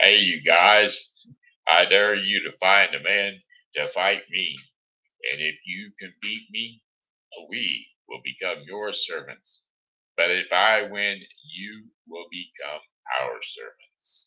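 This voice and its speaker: Shouting in a put-on character voice, a man pitches himself fairly low. He moves at a fairly slow pace with long, frequent pauses. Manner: shouting, challenging.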